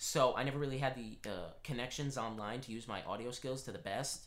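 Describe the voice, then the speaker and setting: The man's voice has a medium pitch and a bright, sharp tone. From Rhode Island. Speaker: podcast co-host. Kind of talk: casual chat.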